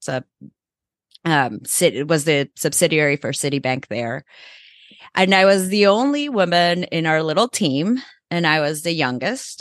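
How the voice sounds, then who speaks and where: A speaker with a Spanish accent talks at a fairly slow pace, their intonation lively and their pauses long and frequent. The sound is dry and close with no echo, over a quiet background. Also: woman, very deep, low pitch for a woman. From El Salvador. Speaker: nonprofit CEO. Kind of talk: interview.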